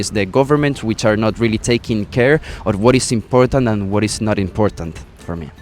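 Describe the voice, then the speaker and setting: With a Spanish accent and a fairly low pitch, a man speaks at a fairly quick pace with ordinary pitch variation over background music. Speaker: resort employee. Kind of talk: interview. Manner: halting.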